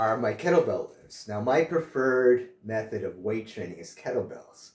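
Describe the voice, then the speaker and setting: Big swings in loudness mark this man's speech. He keeps a moderate pace. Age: 60s. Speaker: health and fitness vlogger, author. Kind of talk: casual vlog talk to camera. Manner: casual, with frequent filler uh.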